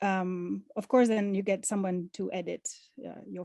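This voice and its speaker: Against a quiet background, a woman with a non-native accent speaks at a medium pitch in a dark, mellow tone. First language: not English. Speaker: artist and past award recipient. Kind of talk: testimony. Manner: halting, many fillers and restarts.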